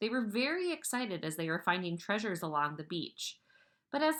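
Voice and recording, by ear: Someone reads a text aloud. Their voice comes across as natural.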